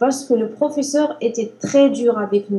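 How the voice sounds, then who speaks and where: Against noticeable background noise, a woman speaks high in pitch at a fairly slow pace with ordinary pitch variation. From Algeria. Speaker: language learner. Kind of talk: interview.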